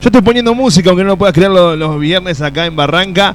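A man's very fast speech with ordinary pitch variation, amid noticeable background noise. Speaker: radio host. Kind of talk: casual chat. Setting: studio. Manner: animated.

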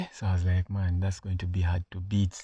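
A man speaks in a dark, mellow, somewhat breathy tone at a moderate pace. The recording is very clean, with a silent background. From Uganda. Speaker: podcast host. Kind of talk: solo monologue, personal story and advice. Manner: casual, with hesitations.

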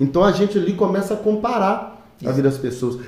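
A man's dark, mellow tone at a fairly quick pace, with ordinary pitch variation and audible room echo. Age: 30s. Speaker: missionary and drummer, hair salon worker. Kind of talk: casual chat. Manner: halting.

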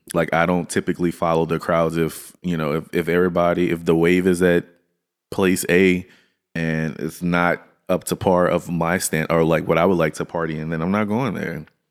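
Monotone, flat intonation at a moderate pace, in a very clean recording with a silent background. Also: man. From Louisiana. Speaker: podcast co-host. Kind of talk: casual chat.

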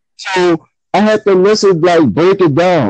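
In a New Orleans accent, the speaker uses ordinary pitch variation in a dry, close sound with no echo. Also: man. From New Orleans, Louisiana. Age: 30s. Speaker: guest rap fan. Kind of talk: casual chat about hip hop.

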